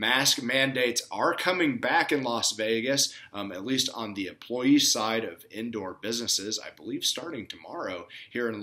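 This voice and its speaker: A man's bright, sharp tone at a moderate pace. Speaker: blackjack vlogger. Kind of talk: casual vlog chat. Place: home room. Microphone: webcam.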